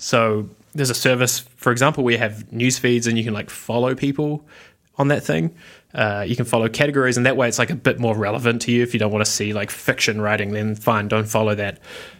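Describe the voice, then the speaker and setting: A man rattles along at a very fast pace with fairly even intonation in a very clean recording with a silent background. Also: medium pitch for a man. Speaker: founder and writer. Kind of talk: casual interview. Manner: hesitant, filler-heavy.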